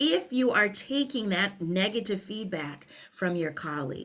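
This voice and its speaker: An American-accented woman at a moderate pace, medium in pitch, with lively intonation and a quiet background. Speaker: cultural consultant and former teacher. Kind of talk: webinar presentation. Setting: online webinar.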